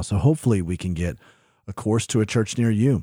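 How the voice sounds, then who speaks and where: In an American accent, a man with a fairly low pitch and a dark, mellow tone talks at a fairly quick pace with lively intonation on a very clean recording with a silent background. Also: dry, close sound with no echo. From US South. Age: 30s. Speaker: podcast host. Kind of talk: casual interview.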